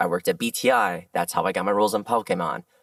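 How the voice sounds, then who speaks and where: The dry, close sound with no echo carries a man speaking at a very fast pace. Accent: American. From Southern California. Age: 30s. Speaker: voice actor. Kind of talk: interview chat. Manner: animated.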